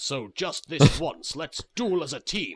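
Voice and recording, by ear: Putting on a cartoonish character voice, a man speaks slowly at a fairly high pitch, with big pitch swings and a slightly husky edge.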